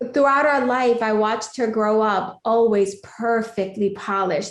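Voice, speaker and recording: A woman in a New York accent, with a fairly high pitch, ordinary pitch variation and an animated tone, amid audible room echo. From New York City (Queens, Bronx), Puerto Rican family. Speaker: life coach, mother, guest. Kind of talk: podcast interview, storytelling.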